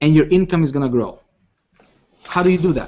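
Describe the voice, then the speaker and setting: A man with a non-native accent, high pitch and ordinary pitch variation. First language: not English. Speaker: online marketing coach. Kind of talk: live webinar presentation. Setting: live video hangout. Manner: animated, repetitive with many fillers.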